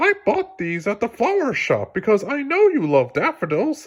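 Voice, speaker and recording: Using a put-on character voice, a man speaks at an extremely high pitch with very wide pitch swings and a moderate pace. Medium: read story.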